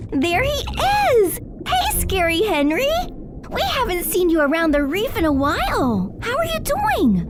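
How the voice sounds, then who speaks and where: A put-on character voice at an extremely high pitch moves at a moderate pace over loud background noise. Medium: audio drama. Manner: earnest, cheerful.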